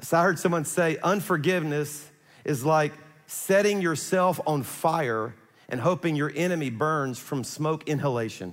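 With a Louisiana accent, a man speaks at a fairly high pitch. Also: ordinary pitch variation, moderate pace. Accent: Southern US (Louisiana). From South Louisiana. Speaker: pastor. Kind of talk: sermon.

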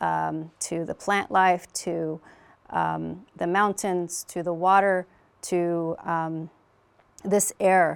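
In a very clean recording with a silent background, a woman speaks at a very slow pace. Her pitch is fairly low, and she has an American accent. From Navajo Nation, northern Arizona. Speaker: federal energy office director. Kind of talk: interview. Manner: halting, many fillers.

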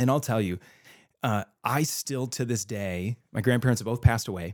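With an American accent and an unremarkable speaking voice, a man talks at medium pitch and a moderate pace with ordinary pitch variation, in a dry, close sound with no echo on a very clean recording with a silent background. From California. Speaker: pastor. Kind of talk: casual chat.

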